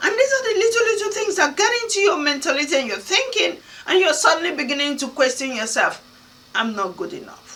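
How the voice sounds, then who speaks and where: Through noticeable background noise, a woman with an African accent speaks very fast in a raised, projected voice, her extremely high pitch making very wide swings. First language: Kana (Nigerian language). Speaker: motivational speaker. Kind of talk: motivational talk.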